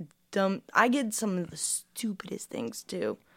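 A woman speaks at a medium pitch with vocal fry and ordinary pitch variation. The recording is very clean, with a silent background. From Russia, raised in US since early childhood. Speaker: social media model and influencer. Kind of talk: casual interview chat.

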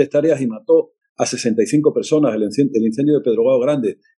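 This man's voice has a dark, mellow tone at a fairly high pitch. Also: dry, close sound with no echo. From Extremadura, Spain (near Monfragüe). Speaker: conservationist, forestry association president. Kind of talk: interview.

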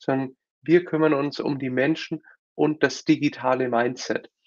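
A man's normal speaking voice, fairly high in pitch, at a moderate pace with fairly even intonation, in a dry, close sound with no echo against a quiet background. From Germany, Nuremberg (Franconia). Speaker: company founder and consultant. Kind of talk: interview on a live stream.

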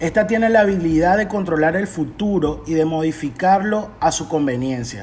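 Against noticeable background noise, a man speaks at a high pitch with lively intonation. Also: moderate pace. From Venezuela. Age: 40s. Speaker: leadership coach and podcaster. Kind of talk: scripted motivational monologue.

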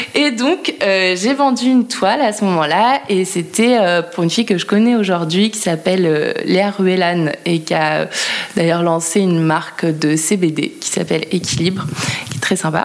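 Calm in tone, a woman speaks at a medium pitch. Her pace is fairly slow, with noticeable background noise. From France, La Rochelle. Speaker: painter. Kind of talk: interview conversation. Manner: hesitant.

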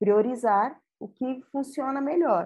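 A woman at a fairly slow pace, with a dark, mellow tone and ordinary pitch variation. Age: 40s. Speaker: communications specialist. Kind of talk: podcast interview.

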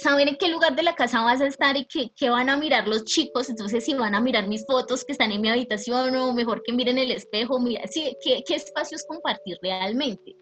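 Over noticeable background noise, a woman speaks in a high pitch at a fairly quick pace, with ordinary pitch variation and hardly any pauses. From Colombian Pacific coast. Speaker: history teacher. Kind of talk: educational interview.

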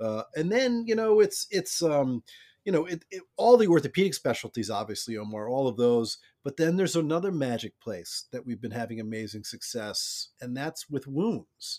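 With an American accent, a man speaks at a moderate pace in a fairly high pitch and a dark, mellow tone, using very wide pitch swings and big swings in loudness. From US, Baltimore. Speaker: orthopedic surgeon and franchise founder. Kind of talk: casual interview.

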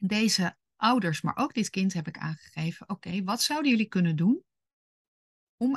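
A woman talks with lively intonation and a somewhat breathy voice, the sound dry and close with no echo. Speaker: parenting podcast host / coach for gifted children. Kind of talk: solo podcast talk with advice. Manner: speaks higher and faster when annoyed.

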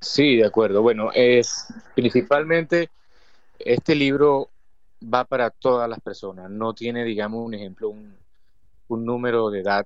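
A man's medium-pitched voice, fairly slow with long, frequent pauses, big swings in loudness and ordinary pitch variation. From Colombia, Cesar region. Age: 30s. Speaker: author. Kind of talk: interview.

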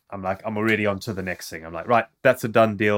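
A normal speaking voice with fairly even intonation, dry and close with no echo. The recording is very clean, the background silent. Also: man. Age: 40s. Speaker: ultra-endurance athlete. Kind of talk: casual interview chat.

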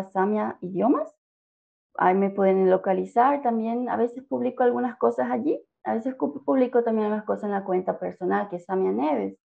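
Her pitch is medium and swings very widely. The woman keeps a moderate pace. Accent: Paraguayan. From Paraguay, Asunción. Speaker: Spanish teacher. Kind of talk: interview.

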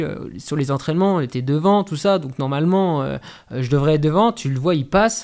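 A plain, everyday voice from a man at a fairly quick pace, with ordinary pitch variation, on a very clean recording with a silent background. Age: 30s. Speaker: trail runner and running coach. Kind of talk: casual interview. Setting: recorded on location at an athletics club.

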